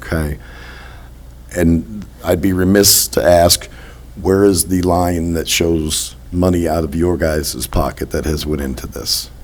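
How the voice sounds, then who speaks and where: A man with an American accent speaks in a very deep, low pitch. Noticeable background noise runs under his voice. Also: ordinary pitch variation. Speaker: village trustee. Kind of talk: public meeting Q&A. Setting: village board meeting.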